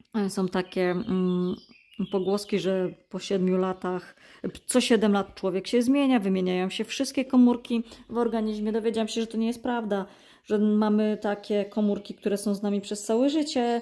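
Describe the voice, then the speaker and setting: Very clean and set against a silent background, the recording has a woman with a dark, mellow tone and fairly high pitch speaking at a moderate pace. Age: 40s. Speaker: cross-stitch vlogger. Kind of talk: casual chat. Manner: halting.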